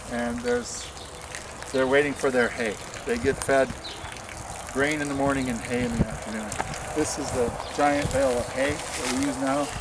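With noticeable background noise in a dry sound that has no echo, a man speaks with long, frequent pauses. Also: moderate pace. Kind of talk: casual guided tour explanation. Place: farm machine. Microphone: camera far.

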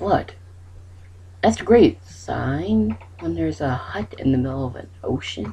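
The speech is fairly slow, broken by long, frequent pauses. Noticeable background noise is present. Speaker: gaming YouTuber. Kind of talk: gameplay commentary. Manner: animated.

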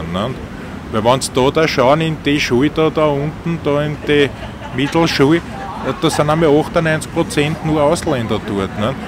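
A man with a Viennese accent and fairly high pitch, moderate pace and ordinary pitch variation, dry sound with no echo, noticeable background noise. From Vienna, Austria. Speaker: taxi driver. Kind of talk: interview answer. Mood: chatty, opinionated. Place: car.

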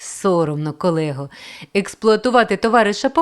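Lively intonation in an unforced reading voice

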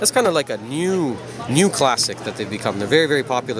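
A man talks at a very fast pace, his pitch moving in an ordinary way. The sound is dry with no echo, and music plays in the background. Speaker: coral shop owner vlogger. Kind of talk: casual vlog commentary. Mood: enthusiastic, curious. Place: hall. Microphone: phone near.

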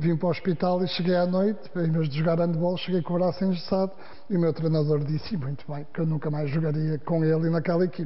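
A man talks at a very fast pace. His voice is high-pitched with fairly even intonation. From northern Portugal, Guimarães; northern Portugal. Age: 50s. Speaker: sports manager and former journalist; former journalist. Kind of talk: interview. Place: studio.

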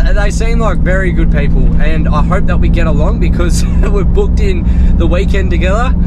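Loud background noise behind a man's dry, echo-free voice. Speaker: travel vlogger. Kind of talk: casual vlog chat. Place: car. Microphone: phone near.

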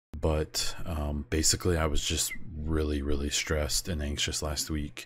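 With an American accent, a man speaks at a moderate pace in a very deep, low pitch and a monotone, flat intonation. His voice is somewhat breathy, on a very clean recording with a silent background. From United States. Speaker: podcast host and streamer. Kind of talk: casual solo podcast monologue.

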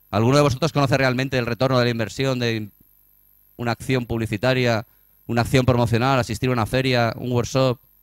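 Over a quiet background, a man talks at a very fast pace and a medium pitch in a monotone, flat intonation, with dry sound and no echo. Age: 40s. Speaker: tourism marketing strategist; conference speaker. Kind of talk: conference talk. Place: hall.

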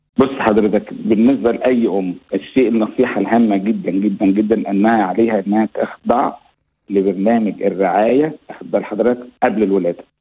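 At a moderate pace, a man speaks with a fairly low pitch and fairly even intonation, leaving hardly any pauses. His loudness is very even. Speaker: pediatric neonatologist. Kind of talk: radio interview. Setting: phone call. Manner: formal.

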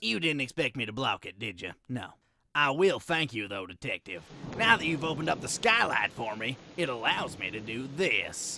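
A man puts on a character voice with a cheerful tone, medium pitch, and a moderate pace. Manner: folksy, cheerful drawl.

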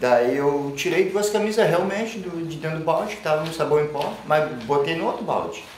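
Over light background noise and audible room echo, a man with a fairly high pitch speaks at a fairly quick pace with lively intonation. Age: 40s. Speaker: arrested suspect; interviewee. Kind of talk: interview. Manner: halting. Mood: calm, explanatory. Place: office.

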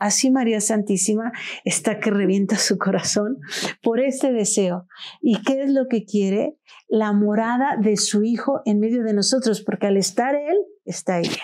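Against a quiet background, someone talks fairly slowly, the pitch varying in an ordinary way. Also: woman, fairly high pitch for a woman. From Mexico, Orizaba, Veracruz; Veracruz, Mexico. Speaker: podcast guest. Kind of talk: podcast conversation on religious history. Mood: warm, devout, enthusiastic. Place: studio. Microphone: lapel.

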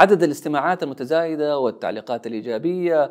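A very fast man's voice with lively intonation against a quiet background. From Saudi Arabia. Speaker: public speaker and voice-over artist. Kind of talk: scripted personal story talk. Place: studio. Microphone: lapel.

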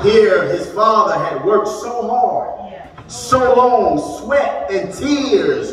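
Very slow speech with very wide pitch swings, audible room echo and light background noise. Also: man, extremely high pitch for a man. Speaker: preacher. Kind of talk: sermon / eulogy preaching to a congregation. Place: church. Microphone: camera far.

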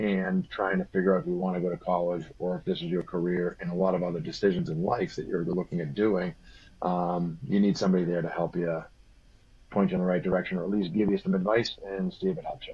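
A man's very deep, low voice at a very fast pace, with fairly even intonation. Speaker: guest. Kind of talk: interview answer. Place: home room. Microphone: video call.

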